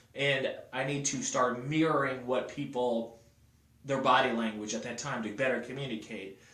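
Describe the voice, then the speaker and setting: There is noticeable background noise as a man speaks in an energetic tone at medium pitch. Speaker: motivational sales vlogger. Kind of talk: casual motivational monologue. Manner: fast.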